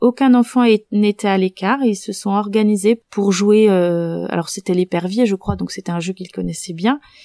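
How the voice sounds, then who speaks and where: A woman's medium-pitched voice carries a calm tone and a dark, mellow quality with ordinary pitch variation. She speaks at a moderate pace in a dry, close sound with no echo. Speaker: primary school teacher. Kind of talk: interview. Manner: hesitant, many fillers.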